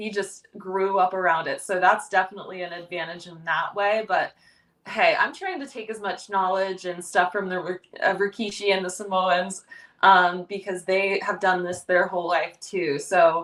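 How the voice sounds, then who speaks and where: Using an ordinary speaking voice, a woman talks at a moderate pace and medium pitch, with fairly even intonation and big swings in loudness. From Ohio. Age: 30s. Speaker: professional wrestler. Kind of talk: podcast interview. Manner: casual, filler-heavy.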